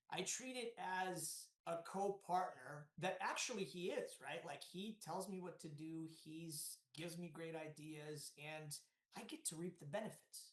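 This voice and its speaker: A man with an American accent speaks loudly at a fairly slow pace, his voice high for a man, energetic in tone, with ordinary pitch variation. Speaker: real estate developer. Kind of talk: podcast interview. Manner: loud, energetic.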